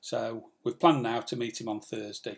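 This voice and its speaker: This man speaks with an English accent at a medium pitch. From England. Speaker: sailing vlogger. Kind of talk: live stream chat. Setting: live stream from home. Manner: fast.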